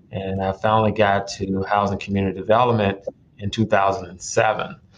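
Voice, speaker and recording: This man speaks in a Memphis accent, his fairly low voice monotone and flat. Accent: Southern US (Memphis). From Memphis, Tennessee (south Memphis). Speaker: judge. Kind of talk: radio interview.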